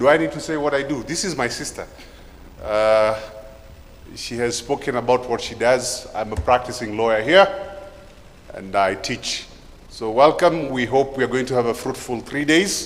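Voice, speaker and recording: With a Kenyan accent, a man speaks at a moderate pace with long, frequent pauses, amid noticeable background noise and audible room echo. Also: medium pitch for a man, ordinary pitch variation. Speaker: event MC, lawyer and lecturer. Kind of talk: conference MC welcome. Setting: conference hall with audience. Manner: energetic.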